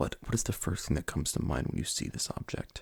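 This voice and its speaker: A man whispering, soft-spoken and somewhat breathy, at a moderate pace. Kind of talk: ASMR roleplay interview, personal attention. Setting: binaural microphone recording. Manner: soft-spoken, whispered.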